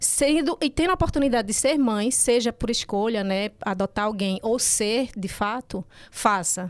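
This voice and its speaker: Fairly high pitch from a woman, varying in an ordinary way. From Recife, northeastern Brazil. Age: 40s. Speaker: breastfeeding consultant and nurse. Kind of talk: podcast interview, personal story.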